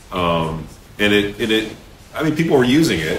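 Amid light background noise and audible room echo, a man with a fairly low pitch speaks at a moderate pace with lively intonation. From Vermont, US. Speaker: web designer; guest. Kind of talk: interview. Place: office.

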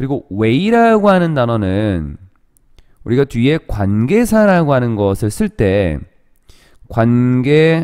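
His voice sits at a medium pitch for a man, with a dark, mellow tone and very wide pitch swings. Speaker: English teacher. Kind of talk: lecture.

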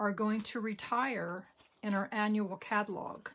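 A woman speaks in an American accent. Light background noise can be heard. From New Jersey. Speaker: papercraft demonstrator; craft demonstrator. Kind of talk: crafting tutorial. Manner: casual with frequent fillers.

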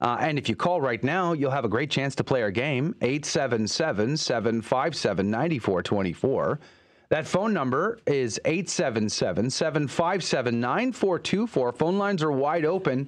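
Against a quiet background, a man with a fairly high pitch talks at a very slow pace with hardly any pauses, very wide pitch swings and very even loudness. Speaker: radio host. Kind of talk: radio show hosting, casual chat and interview. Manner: animated, upbeat radio patter. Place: studio. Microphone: studio mic.

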